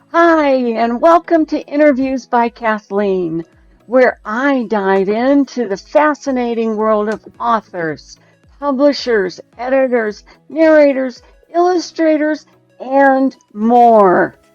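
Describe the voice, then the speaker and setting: Over music in the background, a woman with a high pitch and lively intonation speaks at a very slow pace in a dry, close sound with no echo. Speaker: podcast interviewer. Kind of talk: podcast intro.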